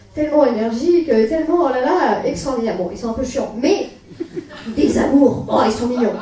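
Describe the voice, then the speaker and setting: The speech comes at a fairly quick pace with lively intonation. There is noticeable background noise and audible room echo. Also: woman. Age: 20s. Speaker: stand-up comedian. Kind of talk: stand-up. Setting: stage with audience. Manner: hesitant. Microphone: poor recording quality.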